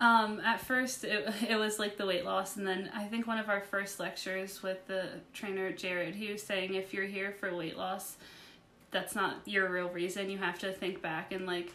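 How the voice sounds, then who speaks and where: A woman with an American accent speaks in a bright, sharp tone with fairly even intonation, and some room echo is audible. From West Virginia. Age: 20s. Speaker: resort guest, recent graduate. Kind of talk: interview.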